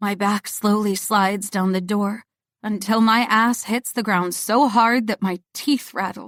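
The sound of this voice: An unforced reading voice in a quiet background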